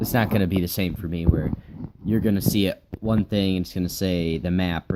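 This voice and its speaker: A man's very deep, low voice at a very fast pace, fairly even in intonation, over noticeable background noise. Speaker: gaming YouTuber. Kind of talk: gameplay commentary. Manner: halting.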